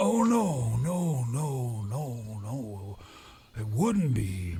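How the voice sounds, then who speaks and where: In a put-on character voice, a man speaks at medium pitch and a very slow pace. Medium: machinima. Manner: rambling, darkly humorous.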